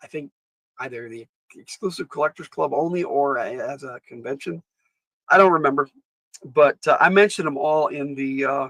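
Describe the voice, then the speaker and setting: At a moderate pace and fairly high pitch, a man talks with ordinary pitch variation, big swings in loudness and long, frequent pauses, in a dry, close sound with no echo. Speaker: YouTube toy collector and gamer host. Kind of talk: casual live stream chat. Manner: halting, with frequent filler words.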